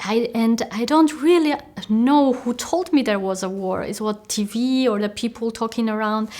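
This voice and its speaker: A woman's fairly high voice with an Armenian accent and ordinary pitch variation. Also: moderate pace. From Armenia, small city. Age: 40s. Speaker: peace activist. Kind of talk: interview testimony. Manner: halting, many fillers.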